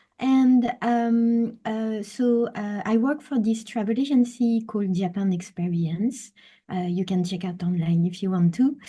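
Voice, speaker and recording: Somewhat breathy speech with a dark, mellow tone moves at a fairly slow pace in a French accent. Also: woman, fairly high pitch for a woman, ordinary pitch variation. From France. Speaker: travel experience designer. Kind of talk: webinar presentation. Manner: hesitant, many fillers.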